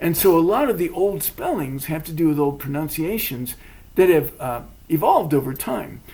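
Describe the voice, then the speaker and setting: Speech comes at a moderate pace. It carries an American accent. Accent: academic-sounding American. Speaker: podcast co-host. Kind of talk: casual chat. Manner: hesitant, many fillers.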